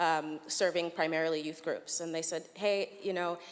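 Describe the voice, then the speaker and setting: At a moderate pace, a woman with a slight American accent speaks with ordinary pitch variation. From United States. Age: young. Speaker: urban planning researcher. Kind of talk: conference talk.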